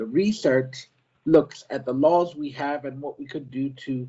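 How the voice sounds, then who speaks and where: A man at a fairly slow pace, with fairly even intonation. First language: not French. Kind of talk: prepared presentation. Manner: halting.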